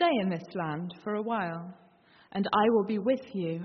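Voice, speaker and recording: At a fairly slow pace, a woman uses an unremarkable speaking voice with medium pitch and ordinary pitch variation. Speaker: scripture reader. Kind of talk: reading aloud. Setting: church.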